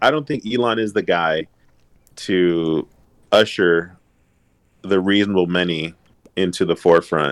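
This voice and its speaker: Speech comes at a fairly slow pace with an American accent. Long pauses break it up often. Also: man, very deep, low pitch for a man, ordinary pitch variation. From Los Angeles, US. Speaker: realtor. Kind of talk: casual chat.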